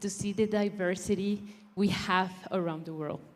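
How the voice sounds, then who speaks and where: A woman talks at a fairly slow pace with a Spanish accent. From Mexico. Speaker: beauty pageant contestant. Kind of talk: prepared speech.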